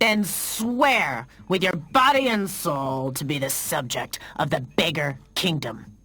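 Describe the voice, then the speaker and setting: Using a cartoonish character voice, a man talks fairly slowly at a fairly high pitch with very wide pitch swings. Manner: showy, boisterous.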